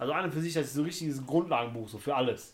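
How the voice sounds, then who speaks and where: A man talks very fast, his pitch sitting fairly high. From Germany, Turkish background. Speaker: podcast co-host. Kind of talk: casual chat.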